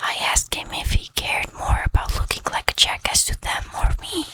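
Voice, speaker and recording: Noticeable background noise is present. Over it comes whispering at a moderate pace. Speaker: ASMR storytime narrator reading Reddit stories over gameplay. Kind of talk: soft-spoken ASMR storytime reading. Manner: soft-spoken, calm, gentle.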